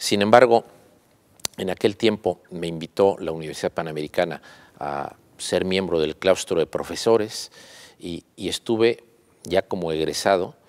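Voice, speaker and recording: This man has a very deep, low pitch and ordinary pitch variation, at a moderate pace. The sound is dry and close, with no echo. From Mexico (León, Guanajuato / Mexico City). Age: 60s. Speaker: businessman and university founder. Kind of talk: interview. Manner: hesitant, many filler sounds.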